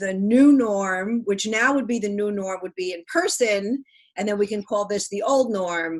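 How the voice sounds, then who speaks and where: A woman with an ordinary speaking voice, medium pitch, and a moderate pace. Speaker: comedy show host. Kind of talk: show host intro over video call.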